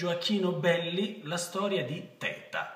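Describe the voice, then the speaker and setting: Against a quiet background with audible room echo, a man speaks at a very slow pace. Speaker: actor. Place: home room. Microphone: phone near.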